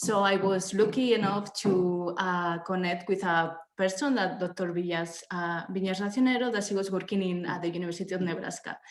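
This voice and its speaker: Over audible room echo, a woman with a Spanish accent speaks at a medium pitch and moderate pace with fairly even intonation. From Spain. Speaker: researcher. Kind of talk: academic presentation.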